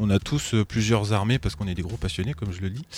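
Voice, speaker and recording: At a fairly quick pace, a man uses a plain, everyday voice with ordinary pitch variation. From France, Troyes. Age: 20s. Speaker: tabletop gaming club member. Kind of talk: casual chat. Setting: studio.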